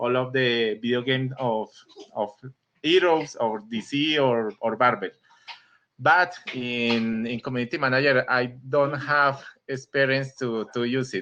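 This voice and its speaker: Bright, sharp tone from a man at a medium pitch, with ordinary pitch variation and a fairly slow pace. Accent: non-native. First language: Spanish. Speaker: community manager, participant. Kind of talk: video call discussion. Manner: halting, repeating words.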